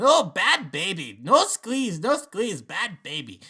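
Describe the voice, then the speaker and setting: A man puts on a squeaky character voice, high in pitch and swinging very widely. He speaks at a fairly slow pace. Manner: scolding, pleading.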